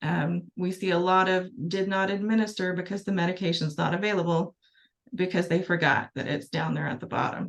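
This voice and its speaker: A woman's plain, everyday voice, medium in pitch, fairly quick, with fairly even intonation. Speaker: pharmacy presenter. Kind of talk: webinar presentation. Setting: webinar.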